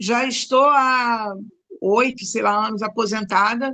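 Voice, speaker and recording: A bright, sharp tone at a very slow pace with fairly even intonation. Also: woman. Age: 60s. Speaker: retired teacher. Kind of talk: casual chat.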